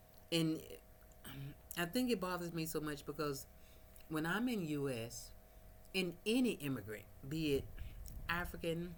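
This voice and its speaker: A woman with an American accent speaks in a very deep, low pitch. She leaves long, frequent pauses, and audible room echo fills the recording. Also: moderate pace. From United States. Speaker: vlogger. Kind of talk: casual vlog monologue. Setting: at home, no power, small fan running.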